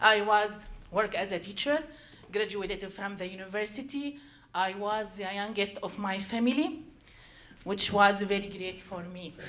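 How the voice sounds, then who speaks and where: A woman with a non-native accent speaks at a moderate pace with ordinary pitch variation. Her loudness swings a lot, and audible room echo surrounds her. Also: medium pitch for a woman. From Syria. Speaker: storyteller. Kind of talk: live storytelling. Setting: stage with audience. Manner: halting.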